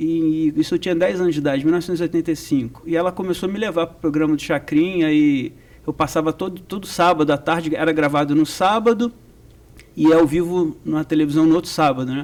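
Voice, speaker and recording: A man talks at a very fast pace with a Rio de Janeiro accent. His pitch is fairly high and his intonation fairly even. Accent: carioca. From Rio de Janeiro, Brazil. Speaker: percussion professor. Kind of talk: interview.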